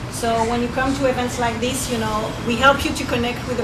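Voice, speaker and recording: With a French accent, a woman talks at a fairly quick pace in a high pitch and monotone, flat intonation, amid noticeable background noise and audible room echo. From France. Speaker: networking coach. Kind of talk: event talk. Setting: restaurant event with audience.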